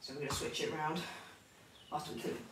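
The room echo is audible. There is light background noise as well. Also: woman. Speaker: personal trainer. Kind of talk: tutorial. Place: empty room. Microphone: camera far.

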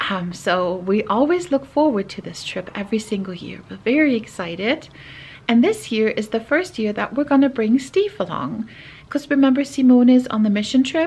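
Delivered at a moderate pace, the speech has lively intonation and big swings in loudness. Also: woman. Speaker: family vlogger. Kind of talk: casual vlog chat. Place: home room. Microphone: phone near.

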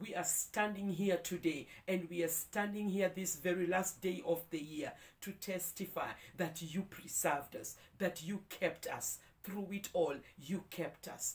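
A woman speaks at a fairly slow pace in a somewhat breathy voice. Her intonation stays fairly even. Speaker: prayer leader. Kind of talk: devotional prayer; fervent prayer. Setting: video, morning devotion. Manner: fervent, heartfelt, praising; warm, uplifting. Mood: fervent, thankful. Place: home room.

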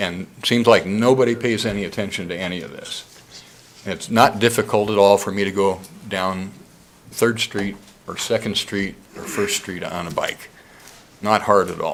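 A man speaks at a fairly low pitch, with big swings in loudness. He leaves long, frequent pauses. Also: moderate pace. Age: 60s. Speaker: public commenter, downtown business owner. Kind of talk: public comment at city council meeting. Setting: city council chamber. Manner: animated.

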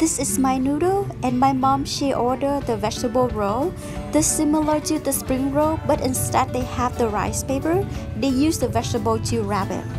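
A woman talking at a moderate pace, with clear music in the background. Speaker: food reviewer. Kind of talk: casual vlog chat. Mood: disappointed by sweet soup. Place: cafe. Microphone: phone near.

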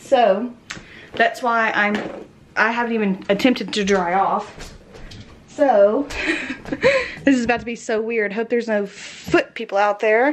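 A woman at a moderate pace, with ordinary pitch variation and light background noise. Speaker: vlogger. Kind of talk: casual vlog chat. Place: home room. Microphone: phone near.

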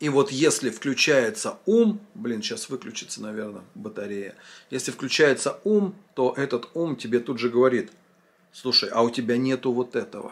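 The voice swings very widely in pitch while keeping a moderate pace. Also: man. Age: 40s. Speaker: vlogger, former drinker; vlogger. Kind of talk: monologue answering a viewer comment. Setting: filming at home. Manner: casual, conversational. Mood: reflective, earnest, some swearing. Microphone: phone near.

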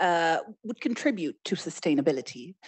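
With very wide pitch swings, a woman speaks against a quiet background. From Egypt. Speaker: trade official; panelist. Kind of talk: panel discussion. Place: stage. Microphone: handheld.

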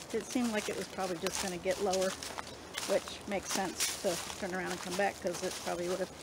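Dry sound with no echo amid noticeable background noise. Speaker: travel vlogger. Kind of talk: casual vlog chat. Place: forest. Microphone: phone near.

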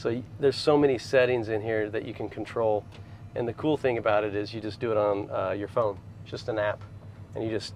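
Using a normal speaking voice, a man talks at a fairly quick pace and a fairly low pitch with fairly even intonation. There is light background noise, and the sound is dry with no echo. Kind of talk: casual show and tell. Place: car.

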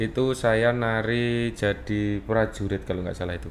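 With fairly even intonation and a moderate pace, the man speaks against light background noise. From East Java, Blitar; East Java, Indonesia. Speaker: dance teacher. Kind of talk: interview. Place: studio. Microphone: studio mic.

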